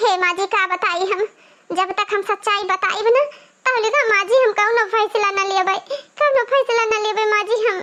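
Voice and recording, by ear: A woman uses a cartoonish character voice at an extremely high pitch. She keeps a moderate pace, fairly even intonation, and very even loudness.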